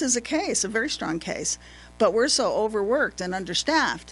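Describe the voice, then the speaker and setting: Against music in the background, a woman with a fairly high pitch speaks at a moderate pace with very wide pitch swings. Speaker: retired diesel mechanic and supervisor. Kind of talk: testimony. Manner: animated.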